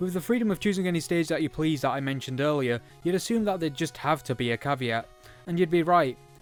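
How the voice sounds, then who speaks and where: With music in the background, a man speaks very fast at a fairly high pitch with ordinary pitch variation. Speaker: video game reviewer. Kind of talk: video game review narration.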